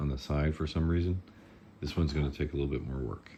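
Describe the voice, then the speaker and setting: A man mumbles in a very deep, low voice. His tone is dark and mellow. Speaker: 3D printing hobbyist and prop maker. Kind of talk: tutorial. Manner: mumbling; casual, halting.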